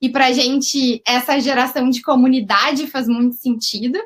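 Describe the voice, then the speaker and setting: In a southern Brazilian accent, a woman speaks at a moderate pace with a high pitch. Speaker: company CEO. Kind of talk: webinar presentation.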